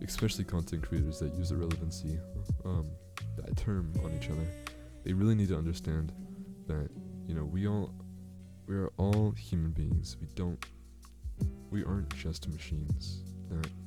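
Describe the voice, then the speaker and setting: Over background music, the speaker goes at a moderate pace with ordinary pitch variation and long, frequent pauses. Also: man, very deep, low pitch for a man. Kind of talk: casual talk to camera.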